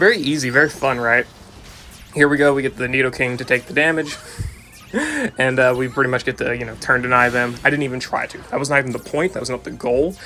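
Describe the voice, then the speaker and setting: A man at a medium pitch, talking very fast with fairly even intonation, over noticeable background noise. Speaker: gaming YouTuber. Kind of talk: gameplay commentary. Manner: casual.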